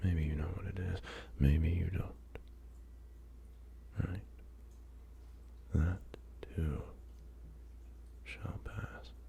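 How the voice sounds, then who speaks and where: A soft-spoken man talks at a very slow pace in a very deep, low pitch with lively intonation. Long, frequent pauses break up his speech over noticeable background noise. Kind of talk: ASMR positive affirmations. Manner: slow, rambling.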